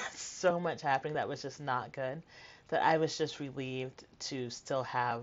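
A woman with an American accent speaks at a moderate pace in a very deep, low voice. Her intonation stays fairly even. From New York City (Flushing, Queens). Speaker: memoirist and author. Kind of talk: casual interview; reading aloud.

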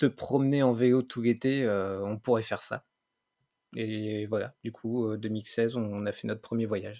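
Over a silent background, a very clean recording holds a man's dark, mellow voice at a medium pitch. He speaks at a fairly slow pace with monotone, flat intonation. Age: 30s. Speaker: bicycle traveller and podcaster. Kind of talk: casual interview.

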